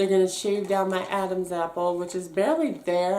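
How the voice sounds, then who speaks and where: A woman's medium-pitched voice is heard with audible room echo. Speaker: vlogger. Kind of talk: casual storytime vlog. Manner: fast; animated.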